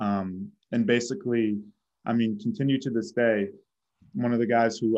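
A man with an American accent and a plain, everyday voice speaks at a fairly quick pace, medium in pitch, with fairly even intonation. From Boston, Massachusetts. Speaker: college baseball outfielder. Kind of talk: interview.

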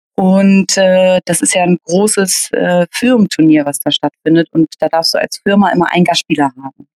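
A woman speaks at a moderate pace and fairly low pitch, with ordinary pitch variation and hardly any pauses. The sound is dry and close, with no echo. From Hamburg, northern Germany. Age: 30s. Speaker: table football player and organizer. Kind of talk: interview, casual chat. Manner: hesitant, many filler sounds.

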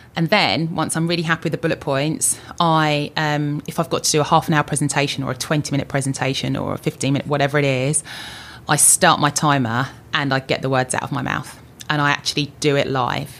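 At a fairly quick pace, a woman talks in a very deep, low pitch with monotone, flat intonation. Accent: southern English. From southern England (Luton). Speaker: insurance executive. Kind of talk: interview.

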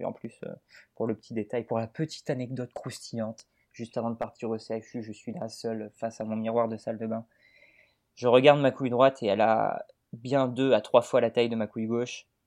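A man speaks fairly quickly at a medium pitch, his intonation flat and monotone. His loudness swings widely against a quiet background. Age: 20s. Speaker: Twitter personality. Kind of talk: casual chat.

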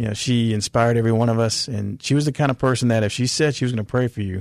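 A man at a medium pitch with an American accent, very fast pace and fairly even intonation, in a dry, close sound with no echo. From California. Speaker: author and school teacher. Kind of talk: interview about faith.

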